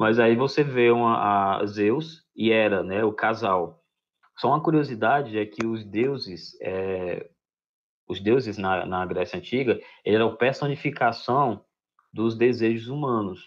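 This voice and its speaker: A man talks fairly slowly, his voice sitting at a medium pitch and showing ordinary pitch variation. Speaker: school teacher. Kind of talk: lecture. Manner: halting.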